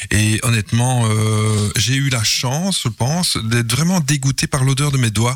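Over noticeable background noise, a man at a medium pitch talks at a fairly slow pace with hardly any pauses, very even loudness and ordinary pitch variation. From Belgium, Mons. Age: 50s. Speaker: game inventor. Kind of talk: radio interview. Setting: studio. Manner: halting.

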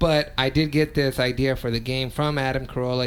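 A man with an American accent speaks at a moderate pace. His voice sits at a medium pitch. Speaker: podcast host. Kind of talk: casual chat. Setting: studio. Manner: animated.

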